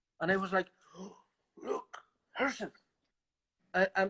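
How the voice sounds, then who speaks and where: A man's high, bright, sharp voice, raised and projected, with a Spanish accent and a dry, close sound with no echo. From Galicia, northwest Spain. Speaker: orchestral trumpet player. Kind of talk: casual interview. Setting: live stream. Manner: halting.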